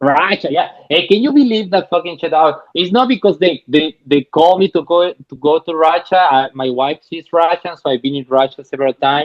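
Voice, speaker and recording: In a Chilean Spanish accent, the speaker moves at a fairly quick pace with ordinary pitch variation and hardly any pauses. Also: man, high pitch for a man. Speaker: stand-up comedian. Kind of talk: casual podcast interview. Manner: fast.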